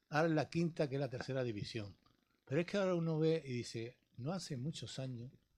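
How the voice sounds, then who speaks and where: Against a quiet background, a man with a fairly high pitch talks at a very fast pace. His voice is somewhat breathy, with ordinary pitch variation. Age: 70s. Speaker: sports pundit, former local politician. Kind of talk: radio sports talk panel.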